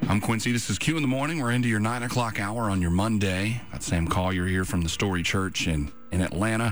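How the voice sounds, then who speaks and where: Over music in the background, a man speaks with hardly any pauses and ordinary pitch variation. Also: fairly low pitch for a man, fairly quick pace. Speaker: radio host. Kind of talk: radio interview, casual chat. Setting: radio studio.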